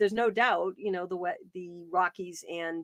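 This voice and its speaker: In an American accent, a woman speaks at a moderate pace. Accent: Boston, still comes out. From Boston, New England. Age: 50s. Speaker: wildlife advocate and author. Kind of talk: interview conversation. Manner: hesitant, many fillers and restarts.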